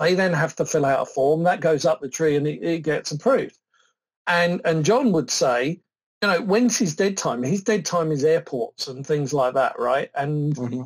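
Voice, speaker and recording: A man's fairly high voice with lively intonation and a British accent. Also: moderate pace. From southern England. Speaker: software product expert. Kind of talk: technical demo and interview.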